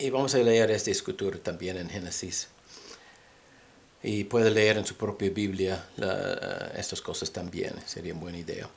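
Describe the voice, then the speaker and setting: A man's fairly low voice with a non-native accent, ordinary pitch variation and a fairly slow pace. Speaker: religious teacher. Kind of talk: bible teaching. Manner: halting.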